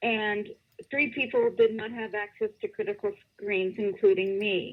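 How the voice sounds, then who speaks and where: A woman with an American accent at a fairly slow pace. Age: 60s. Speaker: caller. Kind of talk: casual chat. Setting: phone call. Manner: halting.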